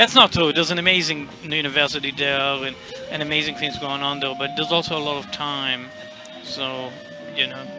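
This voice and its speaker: Music plays behind a man speaking at a fairly quick pace with fairly even intonation. His pitch is fairly high, and there is audible room echo. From Israel and Australia (Perth). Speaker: jazz musician. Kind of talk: radio interview. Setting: backstage at festival.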